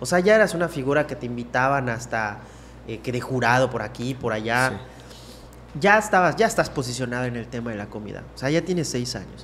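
The speech moves at a fairly quick pace. Light background noise sits behind it. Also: man. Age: 30s. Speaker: podcast host. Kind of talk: casual chat. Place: studio. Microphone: studio mic.

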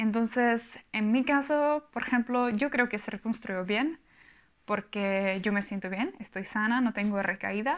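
A woman's fairly high voice with a Czech accent, ordinary pitch variation and a fairly slow pace over a quiet background. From Czech Republic. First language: Czech (speaking Spanish). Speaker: vlogger. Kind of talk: casual vlog monologue; casual vlog chat. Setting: home recording. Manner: halting. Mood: calm, personal, reflective. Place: home room. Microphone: lapel.

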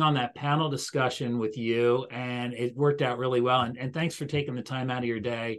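A man with an American accent, talking at a fairly quick pace. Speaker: podcast host. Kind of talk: interview outro. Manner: fast. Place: office. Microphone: video call.

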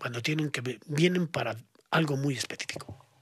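A dry sound with no echo carries speech at a moderate pace with ordinary pitch variation. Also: man. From Spain. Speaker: esotericism expert; podcast guest. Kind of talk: podcast interview. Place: studio. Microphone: studio mic.

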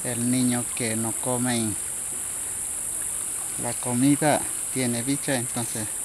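Long, frequent pauses and a very slow pace, with flat, monotone intonation, a dry sound with no echo, and light background noise. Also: man, medium pitch for a man. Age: 50s. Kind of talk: interview answer. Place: waterside. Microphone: phone near.

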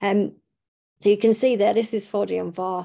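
A woman speaks at a medium pitch in a dark, mellow tone. Her intonation stays flat and monotone. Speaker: researcher. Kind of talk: conference talk. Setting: stage with audience. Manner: halting, many fillers.

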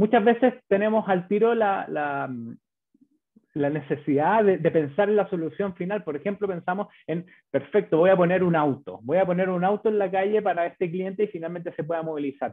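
A man talks at a fairly quick pace in a high pitch, with a Chilean accent. The background is quiet. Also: ordinary pitch variation. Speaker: bank business manager presenting; presenter. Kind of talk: webinar presentation. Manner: halting, many fillers and repetitions. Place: home room. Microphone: webcam.

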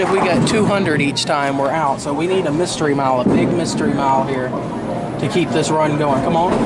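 Over loud background noise, a man speaks with ordinary pitch variation. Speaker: vlogger. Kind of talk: casual vlog chat. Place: hall. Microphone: phone near.

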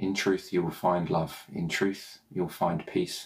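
Against a quiet background, a man with a very deep, low pitch speaks at a fairly slow pace in a gentle, warm tone. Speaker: meditation guide. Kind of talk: guided meditation. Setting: home, recorded morning video. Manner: slow, soothing, calm; gentle, warm, reassuring. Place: home room. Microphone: phone near.

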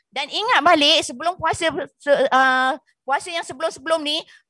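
Speaking at a fairly quick pace with lively intonation, a woman uses an extremely high, bright, sharp voice, recorded dry with no echo against a quiet background. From Malaysia, Banjar-Javanese descent. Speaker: nutrition coach. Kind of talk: seminar talk. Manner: animated. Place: studio. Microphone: handheld.

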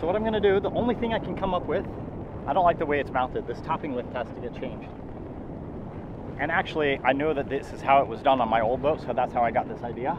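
Very fast speech comes through with a dry sound with no echo and noticeable background noise. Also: man. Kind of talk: casual vlog chat. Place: boat. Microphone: phone near.

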